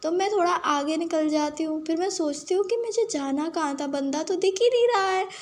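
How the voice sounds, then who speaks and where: Her pitch moves in an ordinary way. This speaker is a woman. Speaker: gaming streamer. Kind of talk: gameplay commentary. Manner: casual, chatty.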